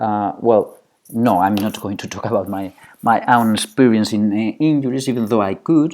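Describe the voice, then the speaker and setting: On a very clean recording with a silent background, a man with a Spanish accent and medium pitch speaks at a moderate pace with ordinary pitch variation. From Spain. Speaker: psychology professor. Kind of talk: lecture. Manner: halting.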